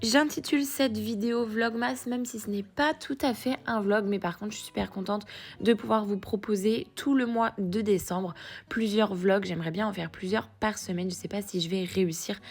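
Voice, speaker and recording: At a moderate pace, a woman speaks in a medium pitch with a somewhat breathy quality. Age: 20s. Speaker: lifestyle vlogger. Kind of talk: voice-over vlog narration. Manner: hesitant with fillers.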